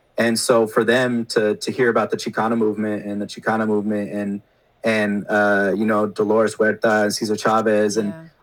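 On a very clean recording with a silent background, a man speaks in a fairly low pitch. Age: 30s. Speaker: teacher and podcaster. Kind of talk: casual chat.

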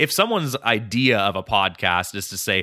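A man's fairly low voice with a bright, sharp tone. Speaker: podcast host and writer. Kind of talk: casual interview.

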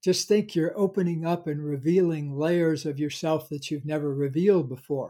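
In a very clean recording with a silent background, a man's dark, mellow voice sits at a fairly high pitch with ordinary pitch variation. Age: 70s. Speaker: psychologist and self-help author. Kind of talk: interview conversation.

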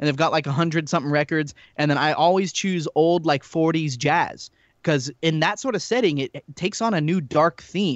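An animated tone at a fairly quick pace with ordinary pitch variation. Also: man. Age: 30s. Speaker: horror podcast guest. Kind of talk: casual chat.

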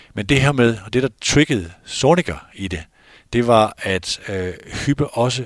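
A man uses lively intonation and a fairly slow pace, captured on a very clean recording with a silent background. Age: 50s. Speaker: football journalist and podcast host. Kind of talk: casual chat. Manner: halting.

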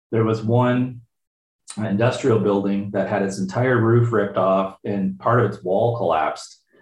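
A man talks at a medium pitch with fairly even intonation. His voice is somewhat breathy, and his pace is fairly slow. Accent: Ontario. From Windsor, Ontario, Canada. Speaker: meteorologist, tornado research director. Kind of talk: interview. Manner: halting, with fillers and repeats.

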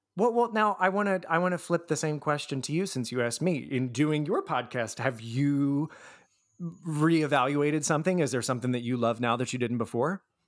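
This man's pitch sits fairly high. His intonation is lively. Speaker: podcaster; writing teacher. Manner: excited, animated.

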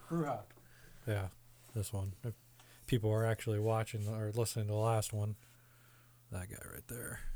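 A man's voice is dark, mellow and somewhat breathy, broken by long, frequent pauses. The recording is very clean, with a silent background. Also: fairly low pitch for a man, fairly even intonation, moderate pace. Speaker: podcast host. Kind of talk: casual chat.

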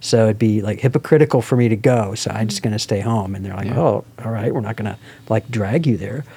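A man with an American accent talks at a very fast pace. Background noise is noticeable. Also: medium pitch for a man, ordinary pitch variation. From US Midwest, Evanston near Chicago. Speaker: campus pastor. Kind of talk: casual chat.

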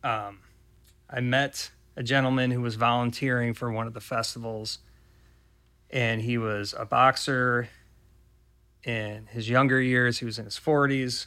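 In a very clean recording with a silent background, a man with an American accent speaks in a bright, sharp tone and a monotone, flat intonation, with long, frequent pauses. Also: medium pitch for a man, fairly slow pace. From Ohio. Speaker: filmmaker. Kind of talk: casual chat. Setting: studio.

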